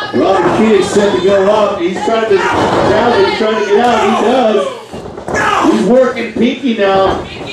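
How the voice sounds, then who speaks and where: Noticeable background noise sits behind a man with a high pitch. He speaks at a fairly slow pace with ordinary pitch variation. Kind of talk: wrestling commentary, live play-by-play call of a match.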